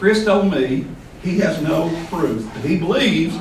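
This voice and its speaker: With a Southern US accent, a man talks at a moderate pace amid noticeable background noise and audible room echo. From US South. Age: 60s. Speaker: invited speaker at a poetry event. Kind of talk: speech to a live audience.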